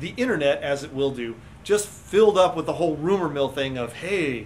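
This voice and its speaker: The speaker uses lively intonation at a fairly quick pace. Noticeable background noise is present. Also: man. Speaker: science educator co-host. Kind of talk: casual chat. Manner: halting.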